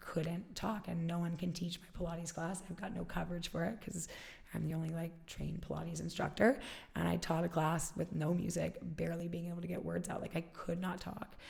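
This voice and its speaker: Her gravelly voice moving at a fairly quick pace, a woman speaks. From Alaska. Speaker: fitness studio founder. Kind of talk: interview.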